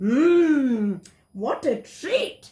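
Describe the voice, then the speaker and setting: A woman uses a put-on character voice at a high pitch. Her pitch swings are very wide. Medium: read story.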